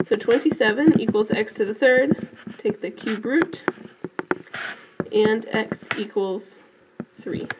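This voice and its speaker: With noticeable background noise behind her, a woman at a fairly high pitch speaks fairly slowly with lively intonation and long, frequent pauses. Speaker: math teacher. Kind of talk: tutorial. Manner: hesitant, frequent fillers.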